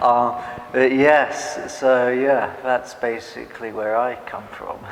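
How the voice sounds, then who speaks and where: A man with an English accent speaks very slowly in a monotone, flat way, with audible room echo and noticeable background noise. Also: medium pitch for a man. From England (Norwich, Norfolk). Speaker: immigrant interviewee. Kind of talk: interview.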